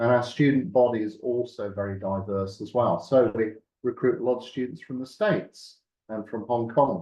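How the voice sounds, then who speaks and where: With a Birmingham accent, a man speaks at a moderate pace with ordinary pitch variation. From West Midlands, England. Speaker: university lecturer and nurse. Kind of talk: meeting presentation. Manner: hesitant, many fillers.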